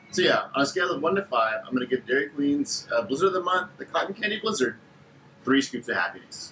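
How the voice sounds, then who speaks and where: Noticeable background noise sits behind a man speaking at a very fast pace. His pitch is high, with very wide pitch swings. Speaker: food reviewer. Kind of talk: casual product review. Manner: animated.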